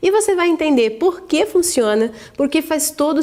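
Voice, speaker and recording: A woman speaks at a moderate pace, her pitch swinging very widely. Noticeable background noise runs behind her. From Brazil, interior of São Paulo state. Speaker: online course instructor. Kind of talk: sales pitch.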